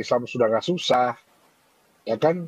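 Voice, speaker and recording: A man is heard with a dry, close sound that has no echo. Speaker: convert foundation worker. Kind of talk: heated debate.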